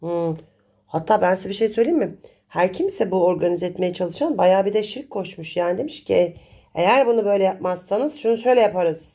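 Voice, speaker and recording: A woman speaks at a moderate pace with lively intonation. Her tone is dark and mellow. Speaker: coffee cup reader and astrologer. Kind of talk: fortune-telling monologue.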